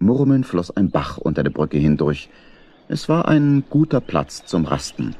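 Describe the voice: Low male voice with a dark, mellow tone, big pitch swings and a fairly slow pace.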